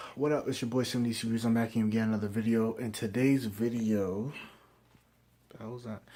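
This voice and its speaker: This quiet voice has a dark, mellow tone and a monotone, flat intonation. It moves at a fairly quick pace, with big swings in loudness. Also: man, medium pitch for a man. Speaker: anime reviewer. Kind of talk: casual video review.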